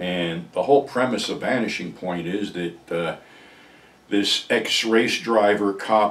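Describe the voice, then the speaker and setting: At a fairly slow pace, a man with a very deep, low pitch speaks with fairly even intonation. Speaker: film commentator. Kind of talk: casual vlog commentary. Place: home room. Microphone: camera far.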